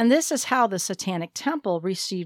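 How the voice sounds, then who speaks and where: A woman with an American accent speaks at medium pitch, with a very clean recording, a silent background and a dry, close sound with no echo. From northern Ohio, US Midwest. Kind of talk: scripted monologue. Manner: formal.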